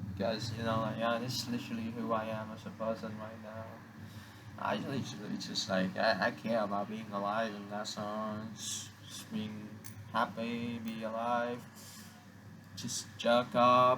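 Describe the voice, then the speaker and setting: Mumbling at a fairly slow pace, a man with a medium pitch speaks in a monotone, flat way amid audible room echo. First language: Vietnamese. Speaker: vlogger. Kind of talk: casual monologue to camera.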